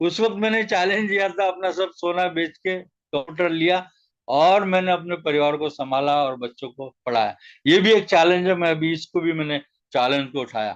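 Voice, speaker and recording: A man speaks with a high pitch and lively intonation. The background is quiet. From Nagpur, Maharashtra, India. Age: 60s. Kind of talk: testimony speech in an online meeting. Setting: online meeting call.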